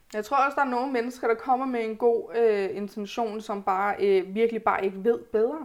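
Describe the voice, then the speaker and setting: In a normal speaking voice, a woman talks with hardly any pauses, her fairly high pitch showing ordinary variation. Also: moderate pace. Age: 20s. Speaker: podcast guest, pregnant student. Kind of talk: casual chat.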